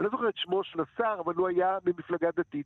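The speaker is a man with a high-pitched voice. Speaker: travel writer. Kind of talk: casual chat.

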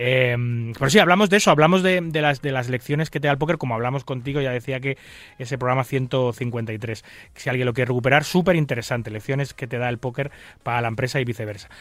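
A man speaks at a very fast pace and medium pitch. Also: ordinary pitch variation. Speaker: radio poker show host. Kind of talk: radio talk show.

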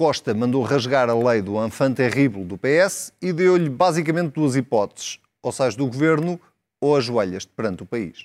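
A man speaks at a moderate pace with very wide pitch swings. The recording is very clean with a silent background, and the sound is dry and close with no echo. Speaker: TV debate moderator. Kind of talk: scripted narration; moderated political debate.

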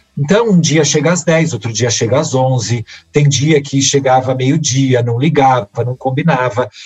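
A man speaks at a fairly slow pace. His voice is somewhat breathy, with ordinary pitch variation. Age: 40s. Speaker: work researcher and speaker. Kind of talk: interview conversation.

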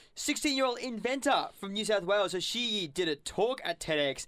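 A man with an Australian accent speaks in an animated, bright and sharp tone, his pitch swinging very widely. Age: 20s. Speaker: community radio co-host. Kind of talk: casual chat and interview. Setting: studio.

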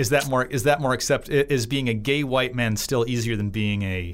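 Moderate pace, medium pitch and ordinary pitch variation from a man, an unremarkable speaking voice. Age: 30s. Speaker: political cartoonist. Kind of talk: casual political discussion podcast.

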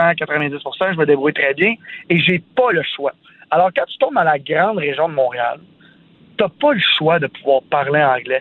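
A man speaks with lively intonation. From Quebec, Sainte-Martine near Montreal. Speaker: entrepreneur, radio commentator. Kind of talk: casual chat.

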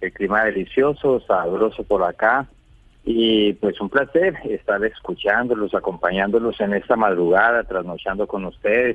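Using a normal speaking voice, a man talks at a fairly low pitch with ordinary pitch variation. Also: fairly slow pace. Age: 50s. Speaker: caller. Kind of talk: radio phone-in. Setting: phone call.

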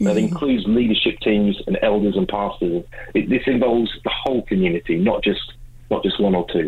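A man with an English accent speaks at a fairly quick pace with a fairly low pitch. His intonation is lively and his loudness very even. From England. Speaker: mental health ministry leader. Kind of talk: interview. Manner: halting with repeated words.

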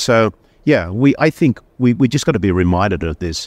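Lively in intonation, a man with an Australian accent talks at a moderate pace in a dry, close sound with no echo and a quiet background. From Australia, Sydney. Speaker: company chief executive. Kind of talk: interview.

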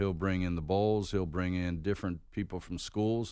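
On a very clean recording with a silent background, a man with an American accent talks in an ordinary speaking voice at a moderate pace, with a fairly low pitch and fairly even intonation. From Pittsburgh, Pennsylvania. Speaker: college bowl game executive. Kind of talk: radio interview, casual chat. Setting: studio.

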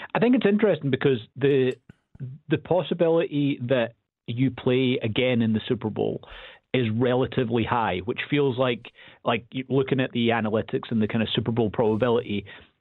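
An unremarkable speaking voice, a man's, moves at a fairly quick pace with medium pitch and very even loudness. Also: ordinary pitch variation. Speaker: football analyst. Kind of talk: radio interview about football. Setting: phone call.

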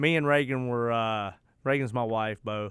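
A man's voice with ordinary pitch variation in a very clean recording with a silent background. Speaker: radio show co-host, real estate. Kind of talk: casual chat. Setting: studio. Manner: animated.

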